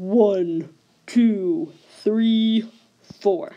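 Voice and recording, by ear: A female-sounding voice in a put-on character voice sits at a fairly high pitch for a woman.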